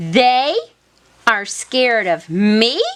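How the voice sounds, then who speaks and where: A woman performs a put-on character voice. It sits at a fairly high pitch. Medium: read story. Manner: fearful, jumpy.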